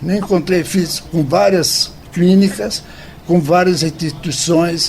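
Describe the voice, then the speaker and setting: Noticeable background noise sits behind a man who speaks at a very slow pace. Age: 80s+. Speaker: recovering alcoholic, support group member. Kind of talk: radio interview, personal testimony. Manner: halting, with repetitions.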